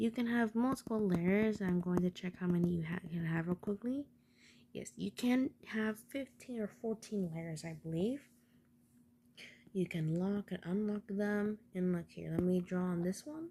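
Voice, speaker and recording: Soft-spoken and somewhat breathy, a woman speaks at a moderate pace in a dark, mellow voice of medium pitch with ordinary variation. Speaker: tutorial maker. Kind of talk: tutorial.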